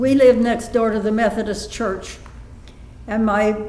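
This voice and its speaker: A fairly high-pitched woman in a monotone, flat delivery, with noticeable background noise and audible room echo. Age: 80s+. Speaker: elderly woman recalling childhood recitations. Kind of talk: interview. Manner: halting.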